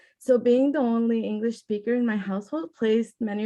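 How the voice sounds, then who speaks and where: With a Spanish accent, a woman speaks at a moderate pace in a somewhat breathy voice against a quiet background. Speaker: youth panelist. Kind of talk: panel discussion.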